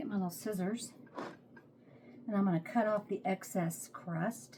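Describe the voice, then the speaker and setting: A woman with an American accent, somewhat breathy, her tone dark and mellow and her intonation lively. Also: medium pitch for a woman, moderate pace. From Texas. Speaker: home cooking vlogger. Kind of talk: casual cooking tutorial. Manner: chatty, relaxed.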